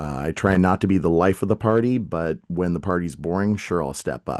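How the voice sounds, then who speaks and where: Over a quiet background, a man speaks with a very deep, low pitch and ordinary pitch variation, the sound dry and close with no echo. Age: 40s. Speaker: real estate coach and sports announcer. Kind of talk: casual interview chat.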